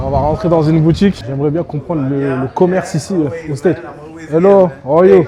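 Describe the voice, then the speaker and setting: Over noticeable background noise, a man with a West African accent talks at a very fast pace in a fairly high pitch, with an animated tone and ordinary pitch variation. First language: Soninke (speaking French). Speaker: travel and food vlogger. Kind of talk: casual vlog narration.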